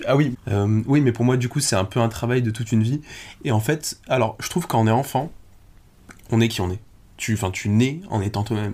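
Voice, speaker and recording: A man speaks at a moderate pace in a medium pitch, his tone dark and mellow and somewhat breathy, with long, frequent pauses. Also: ordinary pitch variation. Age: 20s. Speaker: guest sharing life experience. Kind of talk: casual chat.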